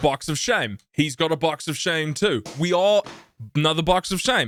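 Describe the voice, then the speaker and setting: With a New Zealand accent, this voice moves at a fairly slow pace with lively intonation, recorded very cleanly against a silent background with a dry, close sound and no echo. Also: man. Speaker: streamer and podcast co-host. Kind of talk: casual chat. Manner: loud.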